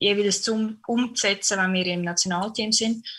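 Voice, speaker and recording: At a fairly slow pace, a woman of medium pitch speaks with a bright, sharp tone and fairly even intonation. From Switzerland, Canton of Zurich. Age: 20s. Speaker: professional handball player. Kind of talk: interview.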